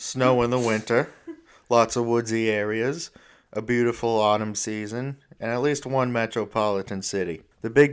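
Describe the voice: The intonation stays fairly even as the text is read aloud plainly.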